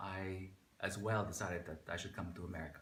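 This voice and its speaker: A man speaks at a moderate pace with a fairly low pitch and ordinary pitch variation. His tone is bright and sharp, with audible room echo. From Philippines, Manila. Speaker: immigrant interviewee. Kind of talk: interview. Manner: hesitant, many fillers.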